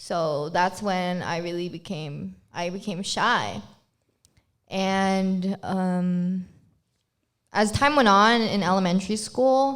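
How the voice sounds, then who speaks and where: A woman with a Filipino accent speaks at a very slow pace, with long, frequent pauses. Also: medium pitch for a woman, ordinary pitch variation. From Philippines. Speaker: podcast co-host. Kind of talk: casual chat.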